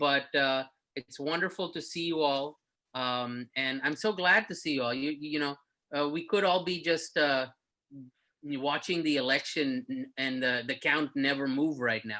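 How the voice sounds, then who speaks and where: Speech comes at a fairly slow pace. Nothing much stirs in the quiet background. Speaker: actor. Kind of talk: casual chat. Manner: loud.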